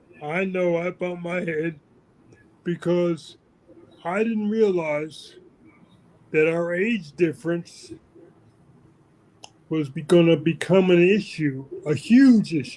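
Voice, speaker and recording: A high-pitched male voice at a very slow pace, with long, frequent pauses. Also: ordinary pitch variation. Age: 60s. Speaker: army veteran being interviewed. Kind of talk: interview. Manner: halting.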